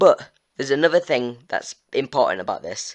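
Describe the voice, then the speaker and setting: A man talks at a moderate pace with ordinary pitch variation, the background quiet. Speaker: gaming youtuber. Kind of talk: storyline recap. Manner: halting, many fillers.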